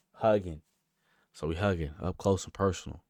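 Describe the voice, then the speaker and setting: This man's very deep, low voice shows vocal fry and lively intonation, recorded with a dry, close sound and no echo. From Kansas. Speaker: storyteller vlogger. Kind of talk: storytime monologue. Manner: casual, profane.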